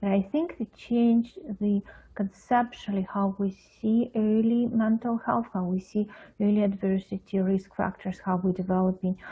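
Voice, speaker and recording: With an Eastern European accent, a woman talks at a moderate pace, her medium pitch carrying fairly even intonation. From Russia, Moscow. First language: Russian. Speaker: pediatric psychologist. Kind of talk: interview. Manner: halting, many fillers.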